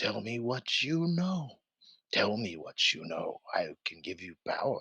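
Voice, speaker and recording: A man speaks in a put-on character voice at medium pitch. His pace is fairly slow. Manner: menacing, tempting.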